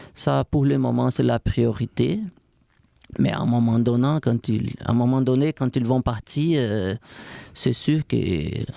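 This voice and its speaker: With a Brazilian accent, a man speaks at a very slow pace, leaving long, frequent pauses and keeping his loudness very even. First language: Portuguese (speaking French). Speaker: strength and conditioning coach. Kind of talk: podcast interview. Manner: halting.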